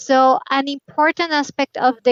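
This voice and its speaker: The speaker talks at a very slow pace. The voice carries a Spanish accent. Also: woman. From Colombia. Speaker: game localization specialist. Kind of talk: interview.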